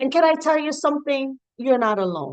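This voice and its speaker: A Jamaican accent with lively intonation and an animated tone. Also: woman. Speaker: counselor and motivational speaker. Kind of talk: motivational talk.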